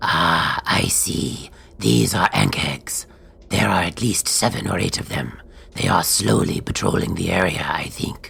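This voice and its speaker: The speaker uses a put-on character voice. It is delivered in a whisper. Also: moderate pace. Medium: audio drama. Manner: quiet, observant.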